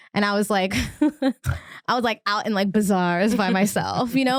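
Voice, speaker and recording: A woman's medium-pitched voice with an American accent, fairly even intonation and a fairly quick pace, dry and close with no echo, in a very clean recording over a silent background. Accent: New Jersey, comes out after a drink. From US Northeast, Central New Jersey. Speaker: comedian. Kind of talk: casual chat.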